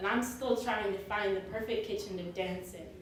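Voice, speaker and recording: Someone with an American accent speaks amid noticeable background noise and audible room echo. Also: woman. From US suburbs. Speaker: spoken word poet. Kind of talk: slam poetry performance.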